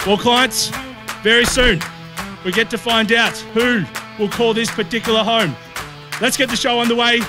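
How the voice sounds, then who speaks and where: With clear music behind him, a man raises and projects his extremely high voice at a moderate pace, keeping fairly even intonation in a dry, echo-free sound. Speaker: auctioneer. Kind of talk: property auction call. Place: street. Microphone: lapel.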